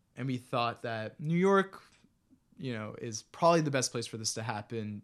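A man with an American accent speaks at a moderate pace in a medium pitch, with lively intonation and a normal speaking voice. The background is quiet. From US, Maryland (Bethesda). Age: 20s. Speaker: musician. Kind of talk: casual interview.

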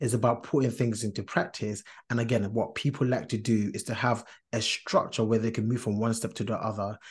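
Over a quiet background, a man speaks somewhat breathily at medium pitch with a monotone, flat intonation. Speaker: podcast co-host. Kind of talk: casual podcast discussion.

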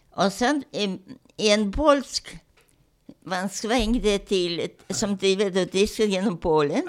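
A woman speaks at a medium pitch and a very slow pace on a very clean recording with a silent background. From Ternopil region, western Ukraine (then Poland). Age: 90s; 80s+. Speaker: Holocaust survivor. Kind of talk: testimony interview. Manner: halting.

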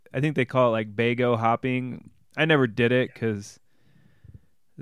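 A man's fairly slow delivery with fairly even intonation. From US Midwest, Illinois (Bloomington-Normal). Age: 40s. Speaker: climbing writer and podcaster. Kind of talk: casual interview conversation. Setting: video call.

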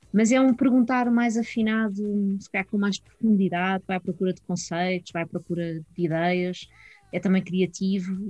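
A woman's somewhat breathy voice, medium in pitch and dark and mellow in tone, at a moderate pace with ordinary pitch variation and big swings in loudness. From Portugal, Sintra area (Lisbon region). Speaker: philosophy teacher. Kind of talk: casual chat. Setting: video call.

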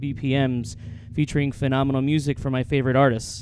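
Fairly high pitch from a man, over noticeable background noise. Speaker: DJ hosting a deep house mix podcast. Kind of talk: radio DJ patter between tracks, airline-pilot themed announcements. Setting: studio, live from Miami. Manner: plugs socials repetitively with small fillers.

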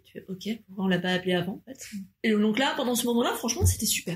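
A somewhat breathy woman with a medium pitch. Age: 30s. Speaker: mother. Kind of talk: casual chat.

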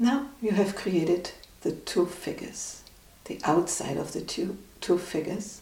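A woman has a plain, everyday voice at a medium pitch. She speaks at a fairly slow pace with ordinary pitch variation. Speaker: meditation guide. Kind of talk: guided meditation. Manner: calm, slow, soothing; gently instructive, with long pauses.

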